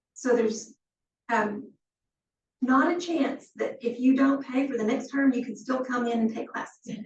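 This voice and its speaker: A woman with a high pitch speaks at a fairly slow pace. She leaves long, frequent pauses. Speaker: executive director giving orientation. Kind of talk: orientation talk. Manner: casual, conversational.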